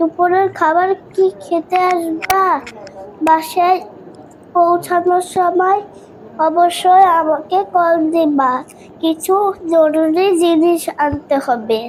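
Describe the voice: A woman uses a cartoonish character voice at an extremely high pitch. She speaks at a very slow pace with fairly even intonation over clear background noise.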